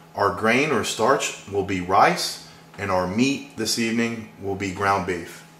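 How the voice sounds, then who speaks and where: A fairly low-pitched man with an American accent at a fairly slow pace, with fairly even intonation and noticeable background noise. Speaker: home cook show host. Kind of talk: cooking demonstration to camera.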